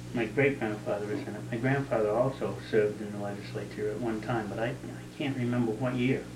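This man has a New England accent and a fairly low pitch, speaking at a fairly quick pace with hardly any pauses. His intonation is fairly even, and there is audible room echo along with noticeable background noise. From southern New Hampshire. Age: 60s. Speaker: local resident recounting town history. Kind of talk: oral history interview. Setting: at his home.

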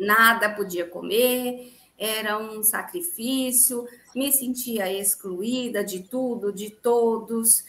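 This woman speaks very slowly in a fairly high pitch with ordinary pitch variation. Her tone is bright and sharp. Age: 40s. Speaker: dentist and gluten-free baker. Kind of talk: interview testimony.

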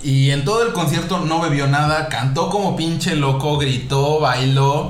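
Noticeable background noise and audible room echo surround a man speaking at a fairly high pitch with a Mexican accent. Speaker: podcast host. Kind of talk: casual chat.

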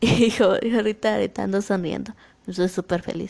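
A woman talks fairly slowly while noticeable background noise is heard. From Guatemala. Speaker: podcast host. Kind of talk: motivational monologue. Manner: halting.

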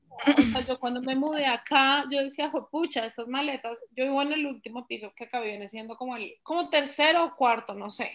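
Her voice high-pitched, a woman talks at a fairly quick pace with ordinary pitch variation, big swings in loudness, and hardly any pauses. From Colombia, Bogotá. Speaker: blogger and podcaster. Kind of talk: casual interview.

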